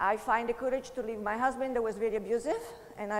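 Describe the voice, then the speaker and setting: A woman's high-pitched voice with an Italian accent, a fairly quick pace, ordinary pitch variation and noticeable background noise. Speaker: motivational speaker, network marketer. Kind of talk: motivational talk.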